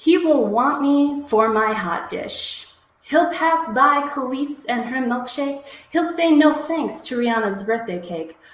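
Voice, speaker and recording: Through audible room echo, a woman speaks fairly slowly in a high voice with lively intonation. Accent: American. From US Midwest, Minnesota. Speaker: slam poet. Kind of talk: poetry performance. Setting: live stream.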